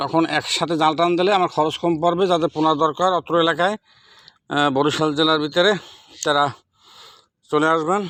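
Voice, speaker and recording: This man's voice sits fairly high in pitch, with very even loudness and a monotone, flat intonation. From Bangladesh, Barisal district. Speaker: fish farmer. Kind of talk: sales pitch. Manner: halting.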